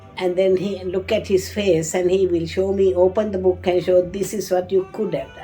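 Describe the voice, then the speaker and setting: This woman talks at a moderate pace with hardly any pauses, her medium-pitched voice monotone and flat. Music plays in the background. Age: 80s+. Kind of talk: interview answer.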